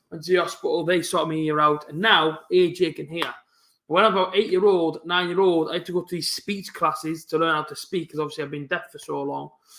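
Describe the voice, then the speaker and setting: With a strong Teesside accent, a man talks at a fairly quick pace in a high voice with a bright, sharp tone. His intonation stays fairly even. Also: big swings in loudness. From northern England. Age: 20s. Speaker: football fan streamer. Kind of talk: live football watch-along chat. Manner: fast.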